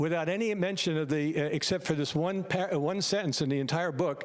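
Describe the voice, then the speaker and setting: Speaking fairly quickly in an unremarkable speaking voice, a man with an American accent has a fairly high pitch and ordinary pitch variation. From United States. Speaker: medical doctor. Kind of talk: public meeting presentation.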